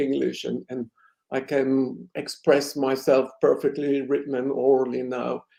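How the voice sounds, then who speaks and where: A man with a non-native accent and a fairly high, dark, mellow voice speaks at a moderate pace in a monotone, flat intonation. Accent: foreign accent in English. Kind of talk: fluent, academic.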